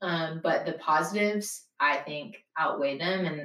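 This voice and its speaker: A woman with a fairly low pitch and ordinary pitch variation has an ordinary speaking voice. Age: 20s. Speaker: nonprofit operations manager. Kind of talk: interview.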